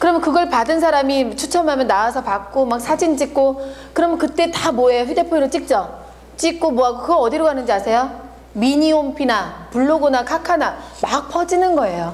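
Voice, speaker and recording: At a fairly quick pace, a woman with a high pitch and lively intonation speaks at very even loudness, with audible room echo and noticeable background noise. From Korea, not Jeolla. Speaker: marketing lecturer. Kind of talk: lecture.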